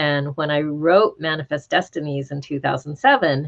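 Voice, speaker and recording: Her pitch is very deep and low, and this woman's voice shows ordinary pitch variation. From New Mexico, US (southeastern). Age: 60s. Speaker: law professor and author. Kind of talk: panel talk Q&A.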